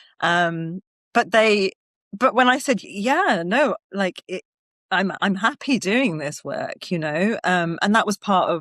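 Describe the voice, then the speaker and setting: A woman speaks with a British accent. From United Kingdom. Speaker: wellness practitioner and actor, former finance professional. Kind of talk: podcast interview answer.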